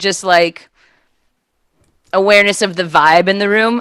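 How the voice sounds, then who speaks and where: With an American accent, a woman speaks at a moderate pace in a fairly low, bright and sharp voice with an animated tone. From Los Angeles, US. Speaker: improv comedian. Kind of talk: casual interview chat.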